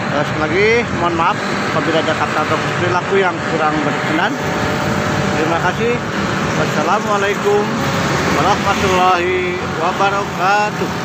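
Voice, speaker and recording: A man talks at a fairly quick pace. The sound is dry with no echo, though loud background noise runs behind him. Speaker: food vlogger. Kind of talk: casual vlog outro. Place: market. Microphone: phone near.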